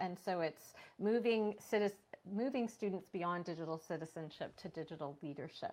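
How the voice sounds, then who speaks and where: The pace is moderate as this woman speaks. Her pitch moves in an ordinary way. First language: non-English. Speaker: teacher librarian and author. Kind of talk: casual interview. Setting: video call.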